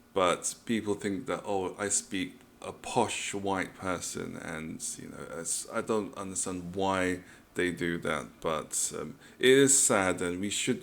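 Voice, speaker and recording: Very slowly and in a very deep, low pitch, a man speaks with ordinary pitch variation and big swings in loudness. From London, England. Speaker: reaction youtuber. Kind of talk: casual commentary.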